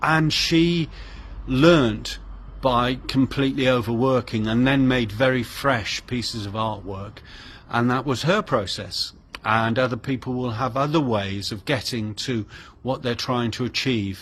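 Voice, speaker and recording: In a normal speaking voice, a man talks at a fairly slow pace with a medium pitch and ordinary pitch variation. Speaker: artist. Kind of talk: casual vlog talk.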